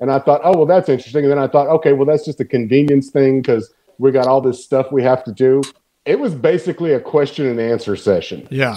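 A man with a Texan accent, at a very fast pace. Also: fairly high pitch for a man, ordinary pitch variation. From Texas. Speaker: podcast guest. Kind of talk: casual chat.

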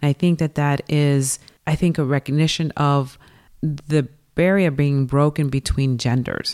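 A woman with an American accent and a very deep, low pitch speaks at a fairly slow pace with fairly even intonation and very even loudness, in a dry, close sound with no echo. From New York and Pasadena, California. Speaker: sports apparel business owner. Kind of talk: interview.

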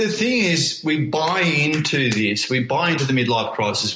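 A man speaks with an Australian accent. Noticeable background noise runs under his voice. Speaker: motivational coach and business owner. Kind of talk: interview.

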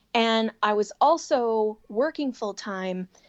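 With a Chicago accent, a woman talks at a fairly high pitch with lively intonation against a quiet background. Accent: Chicago-area American. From Chicago area, US. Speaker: sewing and quilting designer, business owner. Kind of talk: casual interview chat.

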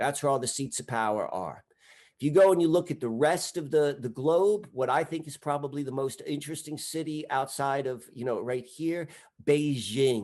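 A fairly high-pitched man at a moderate pace, animated and enthusiastic in tone, with ordinary pitch variation. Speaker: guest researcher of mystic history. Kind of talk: casual discussion. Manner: animated, enthusiastic.

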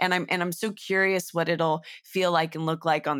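Her voice sits at a fairly low pitch. The recording is very clean, and the background is silent. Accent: Californian. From Northern California. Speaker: voice actor. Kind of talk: casual chat.

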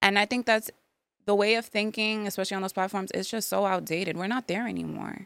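With a New York accent, a woman talks at a very fast pace. Her intonation is monotone and flat. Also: medium pitch for a woman, very clean recording, silent background. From New York, the Bronx. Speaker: speech therapist and podcast host. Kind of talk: casual chat.

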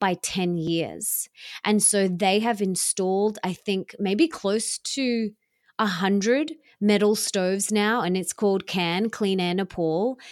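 A woman with an Australian accent speaks at a very slow pace in a medium pitch with ordinary pitch variation, in a very clean recording with a silent background and a dry, close sound with no echo. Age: 30s. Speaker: self-love teacher and author. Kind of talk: interview.

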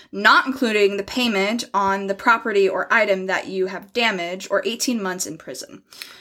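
A woman talks at a fairly quick pace. Her tone is bright and sharp, with ordinary pitch variation. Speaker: podcast co-host. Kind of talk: casual chat with storytelling.

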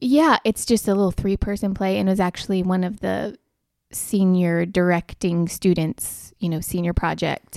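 With a normal speaking voice, a woman of medium pitch talks at a moderate pace with ordinary pitch variation, in a dry, close sound with no echo and a very clean recording with a silent background. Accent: American. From US Southeast, North Carolina. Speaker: actress. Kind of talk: interview.

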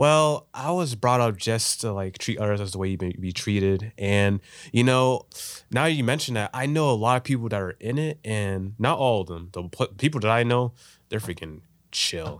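The man talks at a moderate pace. His intonation is lively. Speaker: filmmaker. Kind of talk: casual chat. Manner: casual, talkative.

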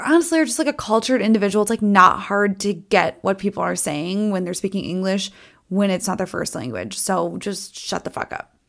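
On a very clean recording with a silent background, a woman with an American accent speaks at a medium pitch with ordinary pitch variation. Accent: Minnesotan, comes out on certain words. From US Midwest, Minnesota. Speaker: podcast host. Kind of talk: casual solo commentary. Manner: casual, chatty, fast-paced.

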